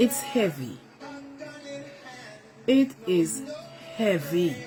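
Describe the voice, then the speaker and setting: With music in the background, a woman's fairly low voice makes very wide pitch swings. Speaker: mother. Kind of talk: emotional selfie video plea.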